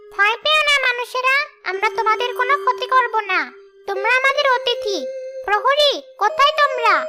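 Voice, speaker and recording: Over loud background music, a female-sounding cartoonish character voice speaks at a moderate pace and an extremely high pitch. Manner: gentle, dignified.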